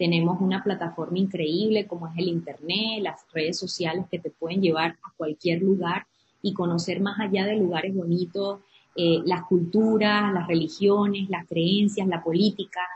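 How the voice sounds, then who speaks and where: An ordinary speaking voice from a woman, medium pitch, fairly even intonation, moderate pace. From Venezuela, Andes (Trujillo state). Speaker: entrepreneur and community founder. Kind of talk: interview.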